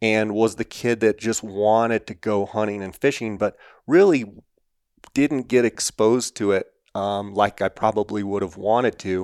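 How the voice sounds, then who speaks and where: With an unremarkable speaking voice, a man talks in a fairly low pitch and fairly even intonation, recorded with a dry, close sound and no echo. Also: moderate pace. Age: 40s. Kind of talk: interview.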